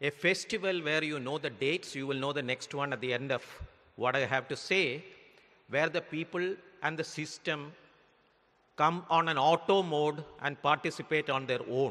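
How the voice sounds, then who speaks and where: Pitch moves up and down in an ordinary way. A bright, sharp tone comes through. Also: man. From India. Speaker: former central banker. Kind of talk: vote of thanks speech. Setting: stage with audience. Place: hall. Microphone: podium.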